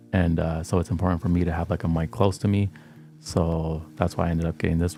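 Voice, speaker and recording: A man with a very deep, low pitch talks at a fairly quick pace. He is quiet, and music plays in the background. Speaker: livestreamer hosting study sessions. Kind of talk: casual chat. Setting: livestream.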